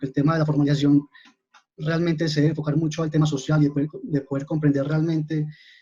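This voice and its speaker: A man's fairly high, somewhat breathy voice with a dark, mellow tone and monotone, flat intonation. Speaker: mining formalization coordinator. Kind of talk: webinar presentation.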